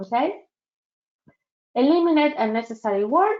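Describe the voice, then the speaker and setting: A woman speaks with a strong non-native accent. Her pitch varies in an ordinary way. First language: not English. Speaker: career advisor leading a workshop. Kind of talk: virtual workshop presentation. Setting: online webinar.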